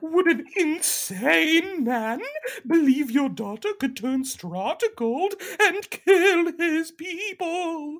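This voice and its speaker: A put-on character voice, high in pitch, at a very slow pace. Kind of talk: comic overacting. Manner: pompous, grandiose, unhinged.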